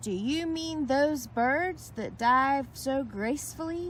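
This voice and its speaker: Over clear background noise, a woman puts on a character voice with a high pitch and a fairly slow pace. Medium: read story. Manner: loud, boisterous.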